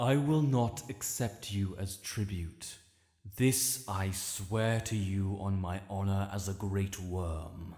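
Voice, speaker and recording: In a put-on character voice, a man speaks very slowly at a fairly low pitch on a very clean recording with a silent background. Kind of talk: audio roleplay. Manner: slow, commanding.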